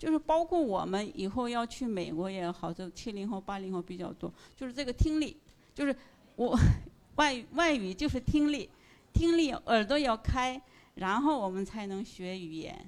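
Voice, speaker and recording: A woman speaks with a fairly high pitch at a moderate pace. Her pitch swings very widely. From northeast China, ethnic Korean. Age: 50s. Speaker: listener sharing at a fan meetup. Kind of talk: presentation to live audience. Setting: stage with audience.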